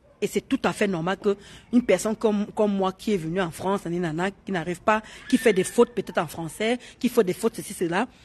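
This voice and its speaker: Speaking at a fairly quick pace, a woman has a medium pitch and a somewhat breathy voice. Her pitch varies normally, and the sound is dry and close with no echo. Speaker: live streamer. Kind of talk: casual live chat. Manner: animated.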